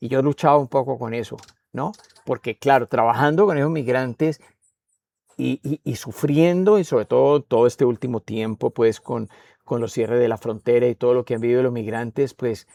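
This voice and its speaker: A man with a Spanish accent, dark and mellow in tone, at a moderate pace with ordinary pitch variation, in dry, close sound with no echo. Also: medium pitch for a man. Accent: Spanish-speaker accent in English. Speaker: poet and writer. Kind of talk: interview. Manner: halting, many fillers.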